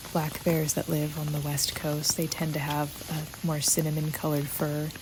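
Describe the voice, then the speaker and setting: Over noticeable background noise, a soft-spoken woman talks at a fairly slow pace in a calm tone, her pitch very deep and low. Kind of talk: soft-spoken ASMR walking tour narration. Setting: outdoors in the rain, recorded on location. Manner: soft-spoken, calm.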